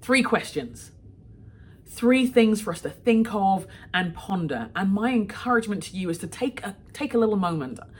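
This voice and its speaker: A woman with a London accent talks at a moderate pace and medium pitch, her intonation lively and her loudness swinging widely, over noticeable background noise. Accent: British English (London). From London, England. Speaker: author and leadership coach. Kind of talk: recorded talk to a moms' group.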